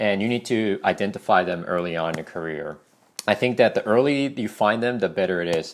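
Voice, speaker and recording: With a non-native accent, a man talks at a fairly quick pace in a fairly low pitch, his intonation lively. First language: not English. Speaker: ESL teacher. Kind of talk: casual vlog advice talk. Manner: conversational, many fillers.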